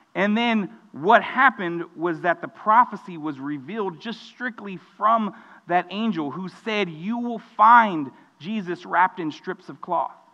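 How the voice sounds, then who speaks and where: A man's raised, projected voice with an American accent, high pitch, bright, sharp tone, ordinary pitch variation, big swings in loudness and a fairly slow pace. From Texas, Mexican American family. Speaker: student pastor. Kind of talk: sermon.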